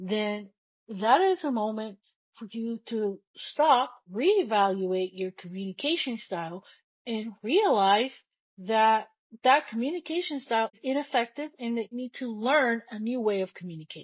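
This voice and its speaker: Somewhat breathy and at a moderate pace, a woman speaks with lively intonation and big swings in loudness. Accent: non-native. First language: not English. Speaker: podcast host. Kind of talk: solo podcast monologue. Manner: conversational, repeats words.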